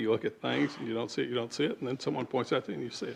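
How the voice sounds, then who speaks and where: A man's voice carries vocal fry. His pitch variation is ordinary. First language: not English. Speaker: developer/applicant at planning meeting. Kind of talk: public hearing testimony.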